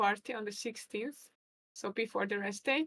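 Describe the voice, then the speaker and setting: A woman speaks at a moderate pace in a fairly high voice. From Hungary. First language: Hungarian. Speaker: chess commentator and player. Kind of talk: live stream chess commentary. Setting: live stream.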